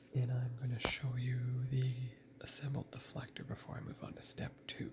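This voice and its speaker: A man's somewhat breathy, medium-pitched voice at a moderate pace. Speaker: model building hobbyist youtuber. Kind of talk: tutorial. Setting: parents' home.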